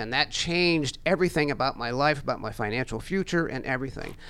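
A man races along at a very fast pace with ordinary pitch variation. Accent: American. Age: 60s. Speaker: financial educator. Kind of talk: radio interview. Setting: studio.

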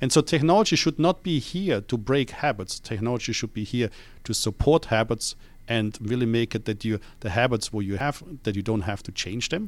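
A man with a slight Austrian accent talks at a fairly quick pace and a medium pitch, his intonation lively. The recording is very clean, with a silent background. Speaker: company CEO and founder. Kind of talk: casual radio interview. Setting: radio show.

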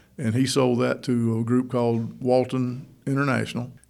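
A man speaks with a Georgia accent. His pace is fairly quick. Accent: US Southern (Georgia). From Northeast Georgia (Toccoa). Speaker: mayor. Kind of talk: radio interview. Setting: studio.

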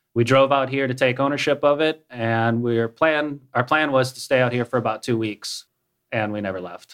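With an American accent, a man talks in a normal speaking voice at medium pitch and moderate pace, his intonation fairly even against a quiet background. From Minnesota. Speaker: app startup CEO. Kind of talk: radio interview.

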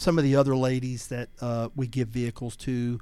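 A man with a Southern US accent, a dark, mellow tone and medium pitch, at a moderate pace, in a very clean recording with a silent background. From US South, Georgia. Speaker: nonprofit founder. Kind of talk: interview. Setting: radio studio.

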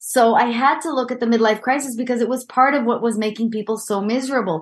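A woman's fairly high-pitched voice with an Israeli accent against a quiet background. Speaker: executive coach. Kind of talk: interview.

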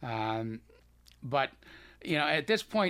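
A man with a slight Boston accent and a bright, sharp tone at a moderate pace, on a very clean recording with a silent background. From Boston, US. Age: 70s. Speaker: cancer survivor and author. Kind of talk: casual radio interview.

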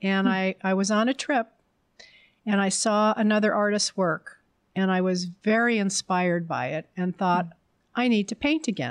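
A woman with an American accent at a medium pitch, ordinary pitch variation and a moderate pace, in a dry, close sound with no echo and a quiet background. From New Jersey. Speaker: artist. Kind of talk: interview.

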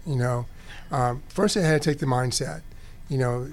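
Moderately paced speech from a man, medium in pitch, in a plain, everyday voice. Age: 60s. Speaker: business owner. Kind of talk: casual interview.

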